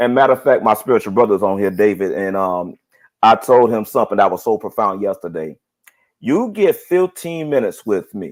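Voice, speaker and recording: With a normal speaking voice, a man talks at a fairly quick pace and fairly low pitch, his intonation lively, in a very clean recording with a silent background. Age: 30s. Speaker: single man on dating live show, preacher. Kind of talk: casual chat.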